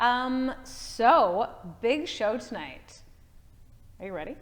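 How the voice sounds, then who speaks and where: A high-pitched woman's voice, animated in tone, with lively intonation and audible room echo. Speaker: podcast host. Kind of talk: casual chat. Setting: studio. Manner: loud.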